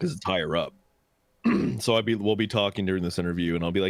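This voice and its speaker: Very deep and low, a man's voice moves at a very fast pace. His intonation is fairly even. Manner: calming.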